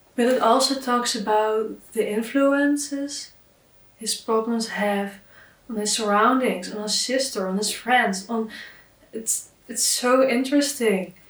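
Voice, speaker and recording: Her voice has a non-native accent. The woman's pitch is fairly high. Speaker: book YouTuber. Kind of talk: casual talk to camera. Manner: enthusiastic.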